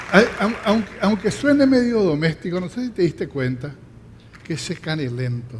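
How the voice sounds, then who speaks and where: Over noticeable background noise, a man's high-pitched voice at a moderate pace, with very wide pitch swings. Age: 70s. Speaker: festival emcee. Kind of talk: stage hosting. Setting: theatre stage with audience. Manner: formal.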